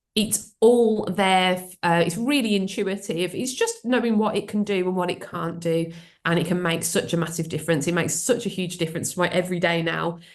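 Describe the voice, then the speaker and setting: A woman with a Birmingham accent speaks at a fairly quick pace, her medium pitch showing ordinary variation. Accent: Birmingham (Brummie). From England, Birmingham. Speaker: AI trainer and speaker. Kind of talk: webinar presentation. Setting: video call webinar. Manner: hesitant, many fillers.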